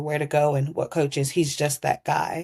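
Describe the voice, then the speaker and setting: On a very clean recording with a silent background, the speaker talks at a moderate pace in an American accent. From United States. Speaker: tennis community organiser. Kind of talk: casual interview.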